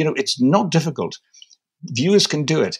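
A man's fairly high voice with vocal fry at a moderate pace. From northeast England (Newcastle area). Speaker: filmmaker. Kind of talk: casual chat.

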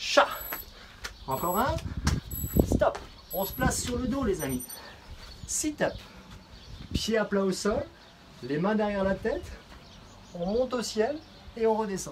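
A man talks with long, frequent pauses. Noticeable background noise runs behind him. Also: fairly slow pace. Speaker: fitness coach. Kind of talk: workout instruction. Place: garden. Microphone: camera far.

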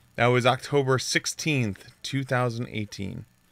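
At a fairly slow pace, a man speaks at medium pitch with ordinary pitch variation, vocal fry, and a fairly bright tone.

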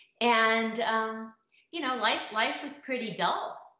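The speaker is a woman with audible room echo. The background is quiet. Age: middle-aged. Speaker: dating blogger and author. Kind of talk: casual talk to camera. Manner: humorous, kind. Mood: warm, humorous. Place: home room. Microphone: webcam.

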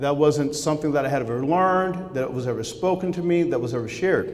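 An American accent marks the speech. The pitch varies in an ordinary way. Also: man. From Southern California. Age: 50s. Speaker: former baseball player and speaker. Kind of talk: faith testimony speech. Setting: stage with audience at breakfast event. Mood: earnest, reflective. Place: hall. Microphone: podium.

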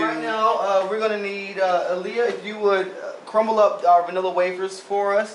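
Amid light background noise and audible room echo, a man talks at a high pitch with fairly even intonation. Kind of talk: tutorial. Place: kitchen. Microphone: camera far.

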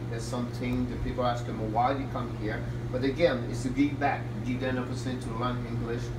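Noticeable background noise sits under a man who speaks very fast. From Quebec. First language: French. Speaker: hockey head coach and team owner. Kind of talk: interview. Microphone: camera far.

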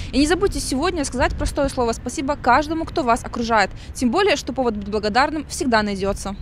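Over light background noise in a dry sound with no echo, a woman speaks very fast in a high voice with lively intonation. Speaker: TV journalist. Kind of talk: scripted narration. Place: street. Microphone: handheld.

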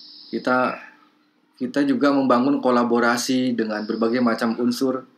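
This man's medium-pitched voice stays monotone and flat while he talks at a fairly slow pace. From Bandung, West Java, Indonesia. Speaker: lecturer in language and literature, also editor and writer. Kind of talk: online lecture to participants. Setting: video call with screen shared. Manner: formal, thoughtful, with filler sounds.

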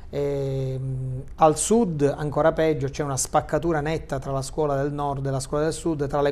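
Flat and monotone, a man's voice moves at a moderate pace. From Sicily. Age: 50s. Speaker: high school teacher and journalist; teacher, guest. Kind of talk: TV talk show discussion. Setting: studio. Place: studio. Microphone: lapel.

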